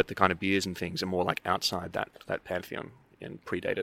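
A man with an Australian accent and a very deep, low pitch, bright, sharp tone and monotone, flat intonation, at a fairly quick pace, in a dry, close sound with no echo. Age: 30s. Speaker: brewer and anthropology researcher. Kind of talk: casual interview. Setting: outdoors at a conference.

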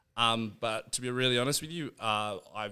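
A man with an Australian accent talks, his pitch shifting in a normal way. Nothing can be heard behind him on this very clean recording. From Australia, Canberra. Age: 30s. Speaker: fitness coach and nanny. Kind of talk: casual chat. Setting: studio.

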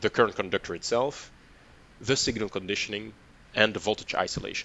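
Vocal fry marks a man's speech as he goes at a fairly quick pace with ordinary pitch variation. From Belgium. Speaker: product line manager. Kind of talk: interview.

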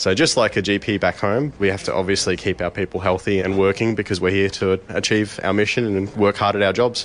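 Noticeable background noise sits under a man's very deep, low voice, fairly quick and fairly even in intonation, with an Australian accent. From Adelaide, South Australia. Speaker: army reserve nurse. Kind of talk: interview answers. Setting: military hospital in Iraq.

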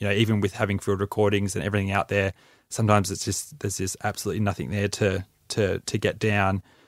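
With an Australian accent, a man speaks at a very fast pace in a fairly low, monotone, flat voice, recorded very cleanly with a silent background and a dry, close sound with no echo. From Australia, Mornington Peninsula, Victoria. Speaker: musician and producer. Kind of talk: interview.

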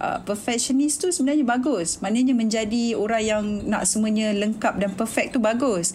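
A woman talks fairly slowly at a medium pitch, with noticeable background noise and audible room echo. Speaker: TV producer and director. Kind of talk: casual chat.

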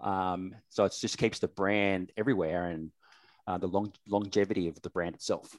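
On a very clean, dry, close recording with no echo and a silent background, a man with an Australian accent speaks at a moderate pace in a very deep, low pitch with fairly even intonation. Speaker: sponsorship manager. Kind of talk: casual chat.

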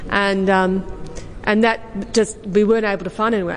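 A woman talks in an Australian accent at a moderate pace. Noticeable background noise is present. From Australia, Western District of Victoria. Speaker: exhibition curator. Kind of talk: panel talk.

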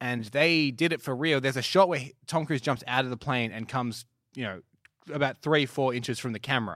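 In a very clean recording with a silent background, a man speaks at a fairly quick pace in an ordinary speaking voice with a medium pitch. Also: ordinary pitch variation. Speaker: cinema company representative and film commentator.

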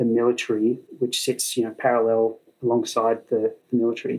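A man with an Australian accent, medium-pitched, at a moderate pace. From Sydney, Australia. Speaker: flight test engineer. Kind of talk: casual chat. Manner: halting.

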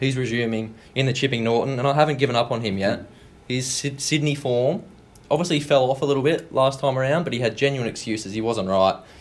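A man with an Australian accent, medium pitch, ordinary pitch variation and a very fast pace. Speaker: racing industry analyst, guest. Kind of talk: casual chat. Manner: relaxed, knowledgeable.

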